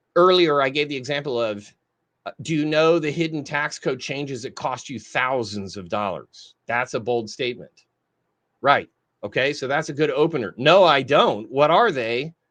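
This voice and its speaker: With lively intonation and a fairly high pitch, a man in a plain, everyday voice talks at a moderate pace. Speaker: marketing trainer. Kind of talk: live training. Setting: live stream.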